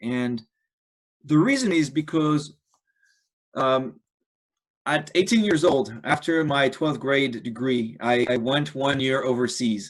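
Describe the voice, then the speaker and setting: A man with a French accent speaks at a fairly slow pace in a fairly high voice. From France. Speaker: ultra-endurance athlete. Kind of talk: presentation.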